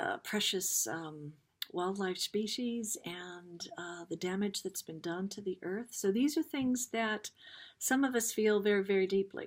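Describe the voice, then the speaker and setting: With an American accent, a woman talks at a fairly slow pace in an unremarkable speaking voice, her pitch medium and its variation ordinary, on a very clean recording with a silent background. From US Midwest, Dayton, Ohio. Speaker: spiritual card reader. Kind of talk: card reading talk.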